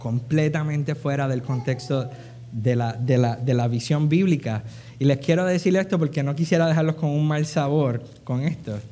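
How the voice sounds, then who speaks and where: A man speaks at a moderate pace with ordinary pitch variation and a fairly high pitch. His tone is dark and mellow, and somewhat breathy. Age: 40s. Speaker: preacher. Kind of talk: sermon.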